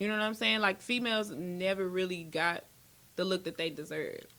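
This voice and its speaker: A woman with an American accent speaks at medium pitch and a moderate pace. Her tone is bright and sharp, on a very clean recording with a silent background. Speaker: battle rapper. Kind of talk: casual chat.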